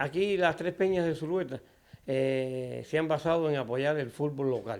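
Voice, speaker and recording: In an unremarkable speaking voice, a man talks at a fairly slow pace with ordinary pitch variation. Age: 60s. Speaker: football fan club president. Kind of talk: interview.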